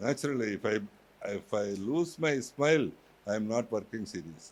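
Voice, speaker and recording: A man with a Telugu accent speaks at medium pitch. His pace is moderate and his intonation lively. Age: 70s. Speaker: university chairman. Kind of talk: motivational speech.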